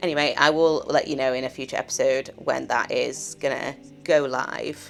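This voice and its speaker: A woman with a British accent speaks at a moderate pace while music plays in the background. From UK. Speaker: podcast host. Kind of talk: casual chat. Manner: rambling, relaxed chatty pace.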